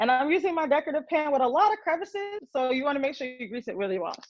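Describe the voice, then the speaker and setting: Speaking very fast, a woman with an American accent uses a high pitch and lively intonation. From New York. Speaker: marketing director teaching a baking class. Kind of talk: tutorial. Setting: video call.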